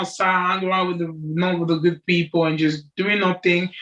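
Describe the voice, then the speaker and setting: A woman with a French accent speaks with a fairly low pitch and fairly even intonation. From Cameroon, raised in Bolton from age 11. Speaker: amateur boxer. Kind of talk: interview.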